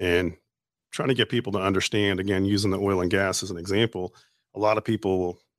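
Here a man with a Louisiana accent speaks at a fairly low pitch with monotone, flat intonation. The sound is dry and close with no echo, over a quiet background. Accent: Southern US drawl picked up from Louisiana. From Canada. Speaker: safety company owner. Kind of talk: casual interview chat. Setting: studio.

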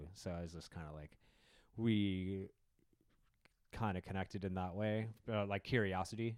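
A man with an American accent, fairly low pitch and fairly even intonation, at a moderate pace, with big swings in loudness and long, frequent pauses, in a very clean recording with a silent background. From Wisconsin, US. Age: 30s. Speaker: comedian. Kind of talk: casual chat.

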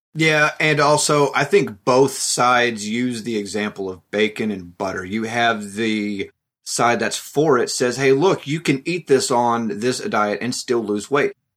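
A man with a plain, everyday voice, lively intonation, a fairly slow pace and hardly any pauses, on a very clean recording with a silent background. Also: medium pitch for a man. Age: 30s. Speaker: keto diet group member. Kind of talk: interview. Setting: studio.

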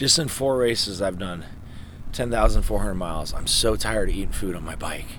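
Over noticeable background noise and audible room echo, a man talks at a fairly low pitch. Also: ordinary pitch variation, moderate pace. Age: 30s. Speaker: endurance cyclist. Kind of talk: casual chat.

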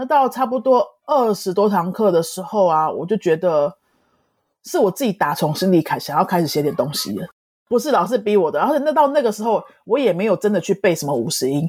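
Fairly quick speech in a Taiwanese accent with very wide pitch swings and big swings in loudness, on a very clean recording with a silent background. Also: woman, medium pitch for a woman. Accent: Taiwanese Mandarin. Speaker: Spanish teacher and author. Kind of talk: interview.

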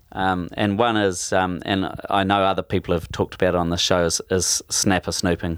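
A man with a New Zealand accent speaks at a fairly quick pace in a very deep, low voice, his loudness very even and his intonation flat and monotone, on a very clean recording with a silent background and a dry, close sound with no echo. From New Zealand, Taranaki. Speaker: spearfisherman. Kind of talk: casual interview. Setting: home man cave. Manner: halting.

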